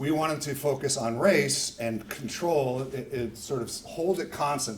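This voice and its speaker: Amid noticeable background noise and audible room echo, a man speaks with ordinary pitch variation. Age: 60s. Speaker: sociologist giving a talk. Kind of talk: lecture. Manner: casual, self-correcting.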